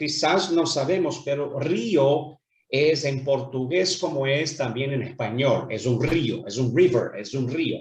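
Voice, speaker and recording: A man speaks at a very slow pace with hardly any pauses. His pitch is fairly high and varies in an ordinary way. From Brazil, Rio de Janeiro. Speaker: businessman. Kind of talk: interview. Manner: hesitant, many fillers.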